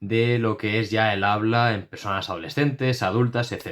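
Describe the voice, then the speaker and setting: Silent background and a very clean recording, with ordinary pitch variation. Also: man. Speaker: YouTuber talking about giftedness. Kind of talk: casual explainer monologue to camera. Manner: fast; stumbles and repeats syllables.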